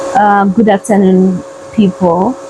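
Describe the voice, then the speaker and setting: A woman at a very slow pace, ordinary pitch variation, noticeable background noise. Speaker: vlogger. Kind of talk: casual vlog talk. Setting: at home.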